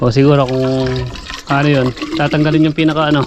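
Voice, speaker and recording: A man at a moderate pace and fairly high pitch, with monotone, flat intonation over noticeable background noise. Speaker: farmer vlogger. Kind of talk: casual vlog narration. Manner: rambling, filler-heavy.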